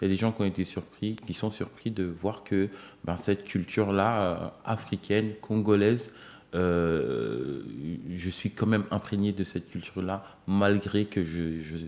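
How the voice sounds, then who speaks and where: The speech moves at a fairly slow pace, with ordinary pitch variation. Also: man, fairly low pitch for a man. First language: Lingala (speaking French). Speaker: singer-songwriter. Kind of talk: TV interview. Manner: hesitant, many fillers.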